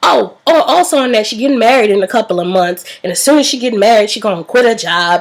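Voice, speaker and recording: Over noticeable background noise, a woman speaks at a very fast pace and a fairly high pitch. Her tone is animated and her intonation lively. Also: hardly any pauses. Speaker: vlogger. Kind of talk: storytime vlog.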